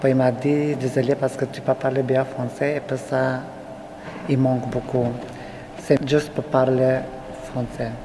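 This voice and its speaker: The speaker has a non-native accent and a fairly slow pace, with long, frequent pauses. Background noise is noticeable. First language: not French (speaking French). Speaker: refugee interviewee. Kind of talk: interview testimony. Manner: halting.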